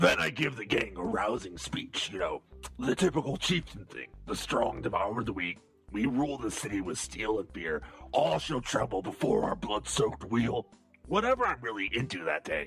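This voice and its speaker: A raspy put-on character voice from a man, medium in pitch, at a moderate pace over faint background music. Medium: audio drama. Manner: crude, profane, casually menacing.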